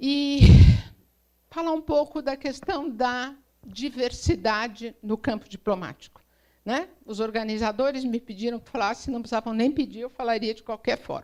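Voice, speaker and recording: Pitch varies in an ordinary way as the words come at a moderate speed. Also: woman, high pitch for a woman. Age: 60s. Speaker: diplomat. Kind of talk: speech.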